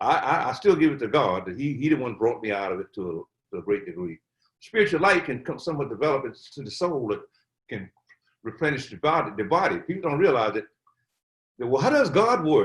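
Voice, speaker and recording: Showing vocal fry, a man with a fairly high pitch talks at a fairly quick pace with very wide pitch swings and big swings in loudness. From US South, Atlanta, Georgia. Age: 80s+. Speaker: Covid survivor, elder. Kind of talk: interview. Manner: halting, repetitive.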